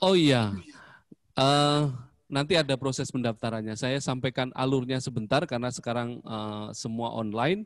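A man with an ordinary speaking voice talks at a fairly slow pace and a medium pitch with ordinary pitch variation, the sound dry with no echo over a quiet background. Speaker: school principal; presenter. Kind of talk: information session presentation. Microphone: voice sounds too quiet; handheld.

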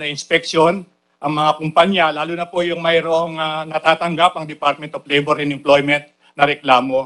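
The delivery comes at a moderate pace. Its intonation stays monotone and flat. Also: man. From Philippines. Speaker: government labor secretary. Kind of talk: formal testimony at hearing. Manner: formal; halting. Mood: polite, measured, formal. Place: hall. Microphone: podium.

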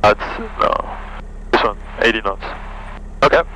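With a French accent, a man speaks at a very slow pace. The sound is dry with no echo, and there is light background noise. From France. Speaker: student pilot. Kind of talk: casual chat during flight lesson. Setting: small airplane cockpit. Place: plane. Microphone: headset.

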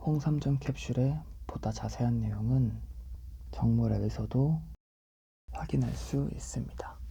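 Speaking in a calm tone, a man goes at a very slow pace with long, frequent pauses. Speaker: ASMR product reader for a health-supplement shop channel. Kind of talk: ASMR product description read-aloud. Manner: soft-spoken, calm.

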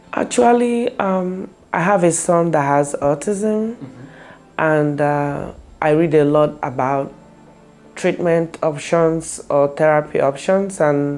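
A woman's very deep, low voice at a very slow pace, with faint music in the background. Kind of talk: interview answer. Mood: calm, friendly. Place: office. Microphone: lapel.

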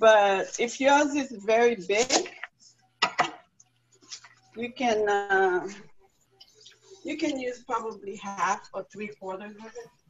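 Speaking at a very slow pace with long, frequent pauses, a woman shows ordinary pitch variation and big swings in loudness against noticeable background noise. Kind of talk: tutorial. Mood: relaxed, friendly. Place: kitchen. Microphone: phone near.

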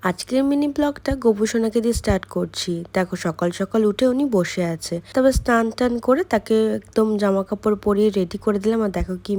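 Her voice, fairly high for a woman, has a dark, mellow tone and lively intonation. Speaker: vlogger. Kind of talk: vlog narration.

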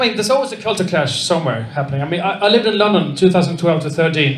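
Here a man with a Swedish accent speaks at a fairly quick pace with lively intonation and a high pitch. The room echo is audible. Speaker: stand-up comedian. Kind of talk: stand-up. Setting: stage with audience. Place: stage. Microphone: handheld.

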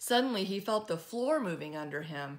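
This woman talks at a moderate pace, her fairly bright tone carried by lively intonation.

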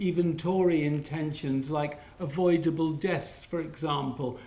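A man at a fairly slow pace with fairly even intonation, in audible room echo. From Liverpool. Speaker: public health academic and activist; guest lecturer. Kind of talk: lecture. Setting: lecture hall with audience. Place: classroom. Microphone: camera far.

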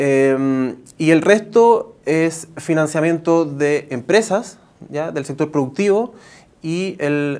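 A high-pitched male voice. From Chile. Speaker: innovation director at a technical university; interviewee. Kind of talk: TV news interview. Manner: halting, many fillers and false starts. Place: studio. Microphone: lapel.

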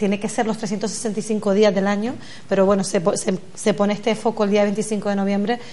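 A somewhat breathy woman talks at a moderate pace, her intonation monotone and flat. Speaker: guest. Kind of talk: political debate answer. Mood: earnest, concerned. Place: studio.

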